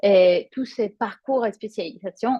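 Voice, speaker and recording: With a Spanish accent, a woman talks at a fairly slow pace using ordinary pitch variation. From Spain. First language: Spanish (speaking French). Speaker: yoga teacher. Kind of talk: promotional presentation. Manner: hesitant, many fillers.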